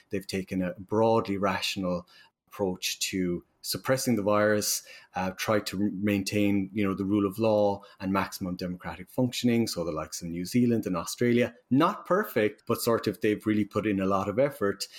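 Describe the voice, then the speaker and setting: A man with an Irish accent speaks at a moderate pace in a fairly low voice. His intonation stays fairly even, and the recording is very clean with a silent background. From Ireland. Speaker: university professor. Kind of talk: interview.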